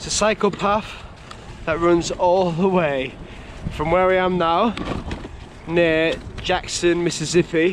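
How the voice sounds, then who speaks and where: This man has a high-pitched voice and a Yorkshire accent, with noticeable background noise behind him. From Yorkshire, England. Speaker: cycle touring vlogger. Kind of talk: casual vlog narration.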